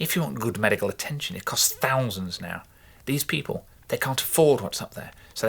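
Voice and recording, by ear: With lively intonation, the speaker is reading aloud in a natural voice.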